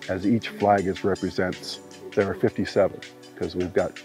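Over clear music in the background, a man talks at a fairly low pitch with ordinary pitch variation, the sound dry with no echo. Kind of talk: interview answer. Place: forest. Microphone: lapel.

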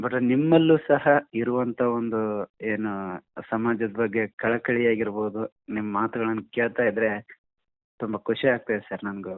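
This man speaks at medium pitch. His intonation stays fairly even. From Gadag district, North Karnataka, India. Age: 30s. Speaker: blind caller, musician. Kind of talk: phone-in conversation. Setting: phone call. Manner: halting.

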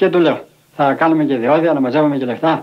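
A man's plain, everyday voice, fairly high in pitch, at a fairly quick pace with fairly even intonation. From Arta, Epirus, Greece. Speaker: settler, former leather dyer. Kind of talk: documentary interview testimony.

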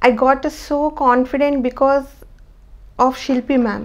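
With an Indian accent, a woman talks at a very slow pace and a high pitch. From India, Hyderabad. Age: 30s. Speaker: patient, new mother. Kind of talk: testimony. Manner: halting, with frequent fillers. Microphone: lapel.

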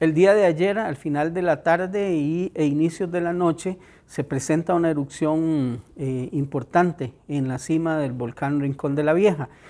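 This man's voice is fairly high yet dark and mellow in tone. He speaks with hardly any pauses. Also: ordinary pitch variation, fairly slow pace. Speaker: emergency management official. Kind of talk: press statement. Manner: hesitant, frequent filler sounds.

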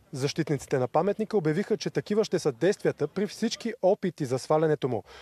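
A man speaks in a plain, everyday voice at a fairly high pitch. His intonation is lively and his pace fairly quick. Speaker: TV news reporter. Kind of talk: news report narration.

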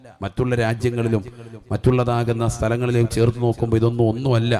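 Noticeable background noise sits under the man's medium-pitched voice. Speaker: Islamic preacher. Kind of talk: sermon. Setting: religious gathering with audience.

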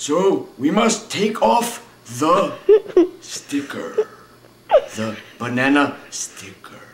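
A cartoonish character voice from a man, high-pitched and very slow, with long, frequent pauses. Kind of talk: comic overacting. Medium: puppet show. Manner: chipper, goofy, rambling.

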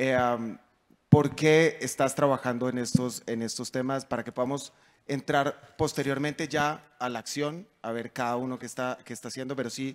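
A speaker with a Bogotá accent talks at a moderate pace with fairly even intonation. The loudness swings widely over a quiet background. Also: man, medium pitch for a man. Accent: Bogotá Colombian Spanish. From Colombia, Bogotá. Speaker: panel moderator. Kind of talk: panel moderation. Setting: conference stage with audience. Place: stage. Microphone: handheld.

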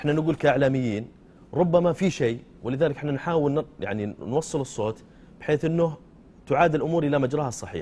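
The voice is somewhat breathy, with a dark, mellow tone. It moves at a fairly quick pace with ordinary pitch variation. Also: man, fairly high pitch for a man. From Saudi Arabia. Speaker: TV sports show host. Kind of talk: press review and discussion. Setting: studio. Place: studio. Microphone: lapel.

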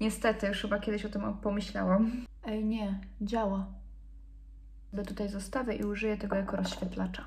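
A woman speaks at a fairly quick pace and medium pitch. She leaves long, frequent pauses. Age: 20s. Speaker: beauty influencer. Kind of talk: casual chat. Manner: animated. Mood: relaxed, playful. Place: home room. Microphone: phone near.

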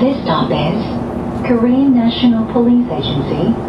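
A woman speaks against loud background noise. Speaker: automated bus stop announcer. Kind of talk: pre-recorded transit announcement. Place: bus. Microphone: pa.

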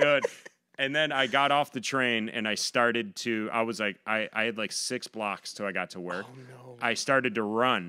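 A bright, sharp tone comes through with an Inland Northern US accent. Pitch variation is ordinary, and the background is quiet. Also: man, medium pitch for a man, moderate pace, big swings in loudness. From western New York, US. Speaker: comedian and Navy veteran; podcast guest comedian. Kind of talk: casual chat. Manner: jokey, self-deprecating. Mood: relaxed, humorous. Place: studio. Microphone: studio mic.

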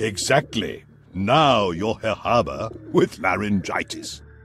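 Putting on a character voice, a man speaks slowly at a fairly low pitch with lively intonation, a fairly bright tone and a slightly husky edge.

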